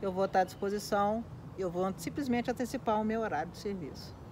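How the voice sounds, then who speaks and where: Light background noise accompanies a woman speaking with ordinary pitch variation. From Minas Gerais, Brazil (Belo Horizonte); Minas Gerais, Brazil. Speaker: school van driver; interviewee. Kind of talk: casual interview. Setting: at a relative's home in São Paulo. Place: garden.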